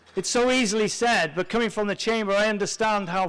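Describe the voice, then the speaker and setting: A man talking at a fairly quick pace. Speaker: chamber of commerce president, event emcee. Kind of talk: ceremony emcee speech. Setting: stage with live audience.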